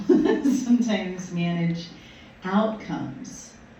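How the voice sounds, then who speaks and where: Noticeable background noise and audible room echo fill the recording. A woman talks, her pitch varying in an ordinary way. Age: 60s. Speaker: minister. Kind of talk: sermon. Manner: halting.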